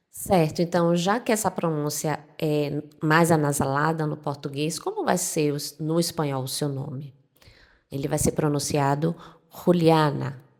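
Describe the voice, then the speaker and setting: Speaking with a northeastern Brazilian accent, a woman has a very deep, low pitch and a relaxed tone. Her pace is fairly slow and her intonation fairly even. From Northeast Brazil. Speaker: Spanish teacher. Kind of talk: tutorial. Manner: relaxed, conversational.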